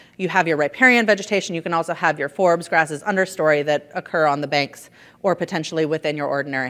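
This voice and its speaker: On a very clean recording with a silent background, a woman with a very deep, low voice speaks at a very fast pace. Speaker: environmental consultant. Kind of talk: conference presentation.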